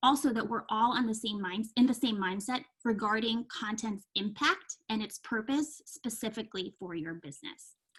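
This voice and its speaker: The speaker has an ordinary speaking voice, moving at a moderate pace with ordinary pitch variation. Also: woman. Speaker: marketing consultant running a workshop. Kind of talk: virtual workshop presentation. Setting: video call.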